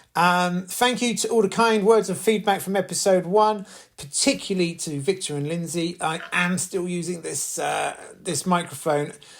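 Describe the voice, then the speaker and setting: Speaking with a British accent at a moderate pace, a man has a high pitch. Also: ordinary pitch variation. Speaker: podcast host, housing resident campaigner. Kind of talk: casual monologue podcast. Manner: hesitant, many fillers and repeats.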